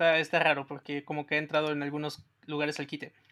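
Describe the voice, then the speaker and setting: Delivered at a moderate pace, the voice comes through in a very clean recording with a silent background. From Mexico. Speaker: music podcast co-host. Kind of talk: casual chat.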